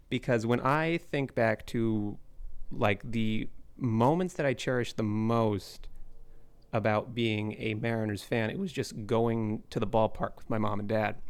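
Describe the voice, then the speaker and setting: In a plain, everyday voice, a man with an American accent speaks at a fairly slow pace, medium pitch and ordinary pitch variation. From Seattle area, US Pacific Northwest. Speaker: sports writer and editor. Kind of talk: casual chat. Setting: remote call.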